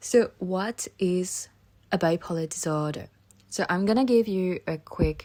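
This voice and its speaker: Intonation here is lively. It belongs to a woman. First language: French or Thai. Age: 20s. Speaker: podcaster. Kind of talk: casual monologue podcast. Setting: home, alone at computer. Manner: casual, with hesitations.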